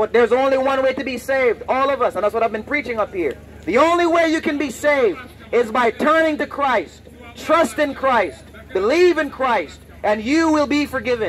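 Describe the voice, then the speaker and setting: A man speaks loudly at a moderate pace with an extremely high pitch. His intonation is lively, with light background noise. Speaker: street preacher. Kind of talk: street sermon, confrontational open-air preaching to passersby; open-air street preaching. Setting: outdoors, street with passersby. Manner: loud, insistent, repeating warnings and commands; bold, defiant, unafraid of hecklers. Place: street.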